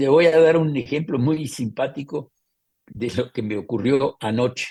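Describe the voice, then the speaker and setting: Here a man talks at a fairly slow pace in a dark, mellow tone. His medium pitch shows ordinary pitch variation. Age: 80s+. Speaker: photographer. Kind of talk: interview answer.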